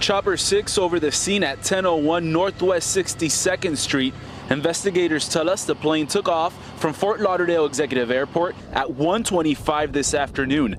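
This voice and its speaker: Over noticeable background noise, a man with a high voice speaks at a very even loudness. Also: ordinary pitch variation, moderate pace. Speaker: TV news reporter. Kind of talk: TV news live report.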